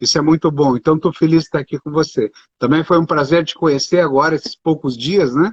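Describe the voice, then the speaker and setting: This man has an unremarkable speaking voice, pitched fairly high. He talks fairly quickly with fairly even intonation. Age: 60s. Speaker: doctor and speaker. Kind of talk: live stream interview.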